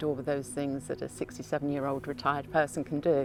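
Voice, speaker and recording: A woman speaks with a southern English accent. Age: 60s. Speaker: patient. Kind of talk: testimony.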